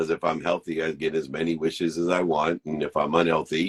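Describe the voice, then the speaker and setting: A man with a very deep, low pitch talks at a fairly quick pace in a dry, close sound with no echo. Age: 50s. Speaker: podcast co-host. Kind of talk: casual chat.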